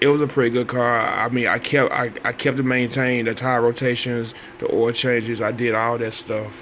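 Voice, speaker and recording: A man's medium-pitched, monotone voice at a fairly quick pace, with flat intonation and noticeable background noise. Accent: American. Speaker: vlogger. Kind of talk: casual monologue. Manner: halting.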